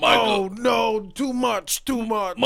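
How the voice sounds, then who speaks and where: The voice is a put-on character with a fairly high pitch. It moves at a fairly slow pace. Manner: exaggerated, comic.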